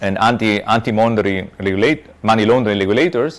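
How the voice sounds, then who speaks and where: The speaker talks with an Italian accent at a moderate pace. Pitch variation is ordinary. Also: man. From Italy. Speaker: lecturer. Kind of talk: lecture. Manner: halting, many repetitions and fillers.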